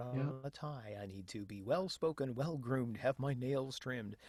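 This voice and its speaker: A man's unremarkable speaking voice with an American accent, medium pitch and ordinary pitch variation at a moderate pace, on a very clean recording with a silent background. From United States, Tampa Bay area. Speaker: professional voice actor, audiobook narrator and audio producer. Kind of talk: podcast interview answer.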